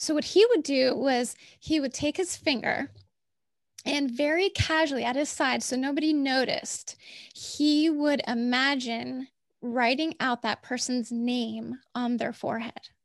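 A woman with a high voice speaks at a fairly slow pace in an animated tone, her pitch moving in an ordinary way over a quiet background. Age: 40s. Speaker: medical writer and podcaster. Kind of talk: interview conversation. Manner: animated, with frequent fillers.

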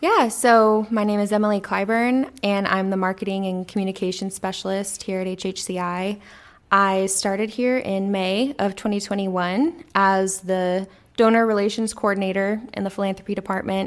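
In a very clean recording with a silent background, a woman with an American accent talks at a moderate pace with fairly even intonation in an unremarkable speaking voice. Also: medium pitch for a woman. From Texas, Corpus Christi. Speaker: podcast co-host, marketing specialist. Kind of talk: casual chat.

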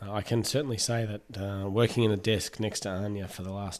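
A man with an Australian accent at a moderate pace, fairly even intonation, on a very clean recording with a silent background. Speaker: podiatry podcast host. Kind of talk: interview. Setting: building noise in background.

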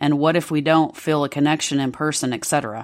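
A woman's very deep, low voice with a Southern US accent, on a very clean recording with a silent background. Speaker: podcast co-host.

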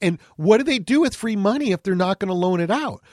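Recorded with a dry, close sound and no echo against a quiet background, a man speaks with an American accent. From Southern California (Anaheim). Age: 50s. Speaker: financial radio host. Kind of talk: podcast monologue.

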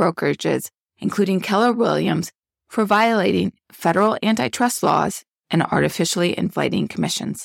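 A woman's voice with vocal fry at a moderate pace. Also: dry, close sound with no echo, very clean recording, silent background. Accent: American. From Chicago, US Midwest. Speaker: attorney, podcast host and producer. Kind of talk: casual legal discussion; podcast hosting, partly scripted reading.

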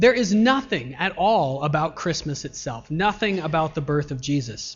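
Over music in the background, a man with a fairly high voice talks at a moderate pace with lively intonation. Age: 30s. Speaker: pastor. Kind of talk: sermon. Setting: church.

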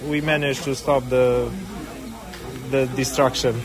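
Amid noticeable background noise and audible room echo, a man with a Romanian accent talks at a moderate pace and a fairly high pitch. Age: young. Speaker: filmmaker and railway volunteer. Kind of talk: interview.

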